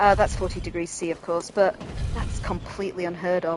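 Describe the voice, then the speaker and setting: Over noticeable background noise, a woman speaks at a very fast pace with a northern English accent. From northern England. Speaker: gaming streamer. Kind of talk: let's play commentary. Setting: home room while gaming. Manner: casual, chatty.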